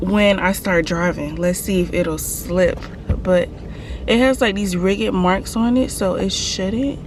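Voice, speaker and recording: A woman's medium-pitched voice at a fairly slow pace, with audible room echo and noticeable background noise. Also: ordinary pitch variation. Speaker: mom vlogger. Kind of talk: casual vlog talk to camera. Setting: in a car, then in a store.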